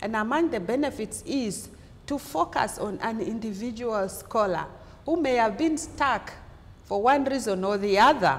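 Her voice fairly high, a woman with an unremarkable speaking voice talks at a fairly slow pace with lively intonation. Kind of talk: lecture. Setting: symposium with audience. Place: classroom. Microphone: lapel.

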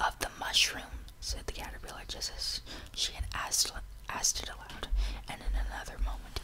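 A man whispering at a moderate pace. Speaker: reader. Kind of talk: audiobook reading. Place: home room. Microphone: studio mic.

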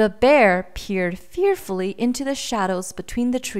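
Intonation rises and falls in a lively way as the speaker reads aloud in a natural voice.

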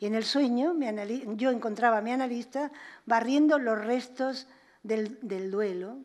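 At a moderate pace, the voice moves through ordinary pitch variation while the background stays quiet. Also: woman, high pitch for a woman. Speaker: psychoanalyst and author; psychoanalyst. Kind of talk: lecture. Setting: museum auditorium with audience. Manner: fluid. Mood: calm, reflective. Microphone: podium.

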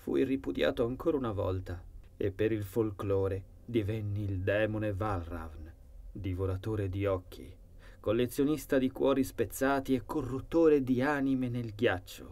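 A man's fairly low, dark, mellow, somewhat breathy voice at a fairly slow pace, solemn and menacing in tone, with lively intonation. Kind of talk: horror audiobook narration. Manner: first-person dark storytelling, solemn and brooding, with an ominous, menacing tone.

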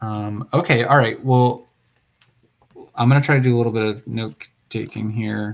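The pace is moderate, with fairly even intonation. Long pauses come often. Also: man, medium pitch for a man. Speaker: software developer leading a planning meeting. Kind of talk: technical meeting discussion. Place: home room. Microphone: earbuds.

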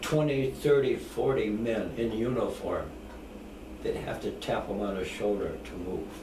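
A man talks at a fairly slow pace. There is noticeable background noise. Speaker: war veteran. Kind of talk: interview answer. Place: home room. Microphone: camera far.

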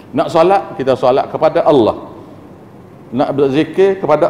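Light background noise sits behind a man's voice. His intonation is lively. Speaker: religious teacher. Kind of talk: religious lecture. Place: church.

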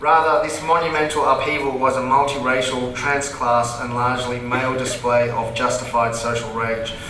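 A man with an Australian accent speaks at a moderate pace and medium pitch in a monotone, flat delivery, with light background noise and audible room echo. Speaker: comedian and event moderator. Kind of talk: on-stage interview. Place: stage.

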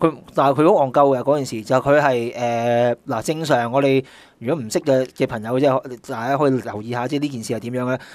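A man at a fairly quick pace with hardly any pauses and fairly even intonation. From Hong Kong. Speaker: guest co-host, sportswear marketing veteran. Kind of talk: casual chat. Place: studio.

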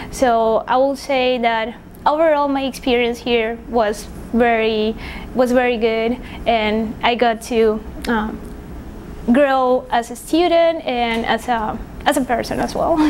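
Speech comes at a very slow pace in a Spanish accent, with fairly even intonation and very even loudness. Noticeable background noise sits behind it. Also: woman, high pitch for a woman. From Paraguay. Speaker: engineering PhD graduate. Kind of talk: interview. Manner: hesitant, many fillers.

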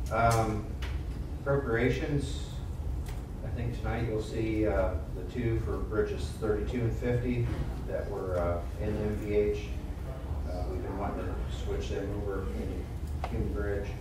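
A man's fairly slow speech with long, frequent pauses, noticeable background noise and audible room echo. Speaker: county highway superintendent. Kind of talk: public meeting report. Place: meeting room.

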